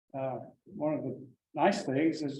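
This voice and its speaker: A man with a fairly high pitch talks, and audible room echo follows his words. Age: 80s+. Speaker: birding instructor. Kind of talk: lecture. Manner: halting.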